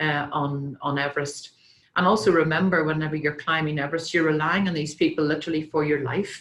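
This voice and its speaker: A woman speaks with a Northern Irish accent at a fairly quick pace. Her voice is very deep and low in pitch. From Northern Ireland. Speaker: company president and speaker. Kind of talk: conference talk with slides. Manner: hesitant with many fillers.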